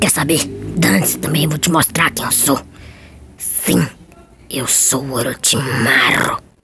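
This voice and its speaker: A raspy put-on character voice at low-to-middle pitch, at a fairly slow pace. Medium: dub.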